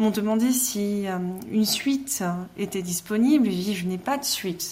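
This is a woman speaking. Her pitch sits at a medium level. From Alsace, Mulhouse. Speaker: novelist. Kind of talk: interview.

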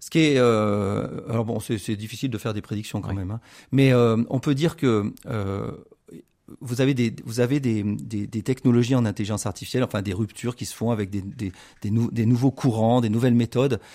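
At a moderate pace, a speaker with a dark, mellow tone shows ordinary pitch variation on a very clean recording with a silent background. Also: man, medium pitch for a man. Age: 40s. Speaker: computer scientist. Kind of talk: radio interview. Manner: halting.

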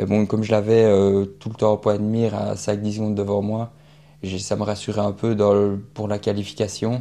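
A dark, mellow tone carries a monotone with flat intonation at a moderate pace and long, frequent pauses. The background is quiet. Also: man, fairly low pitch for a man. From Belgium, Liège. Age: 20s. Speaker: student athlete. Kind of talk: radio interview.

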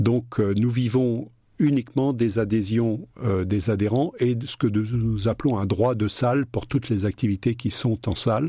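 Somewhat breathy, a man speaks at medium pitch with a dark, mellow tone. He keeps a fairly slow pace and fairly even intonation. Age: 70s. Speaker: association president. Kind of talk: radio interview. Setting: studio.

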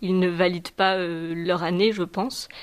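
In a normal speaking voice, a woman talks at a fairly slow pace with a medium pitch. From southern France. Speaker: student. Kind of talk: testimony.

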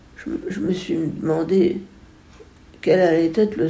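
Speaking at a very slow pace, a woman uses a fairly low pitch and fairly even intonation. Her tone is dark and mellow, and room echo can be heard. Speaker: musician, composer and retired music teacher. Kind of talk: interview testimony. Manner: halting, with frequent word repetitions.

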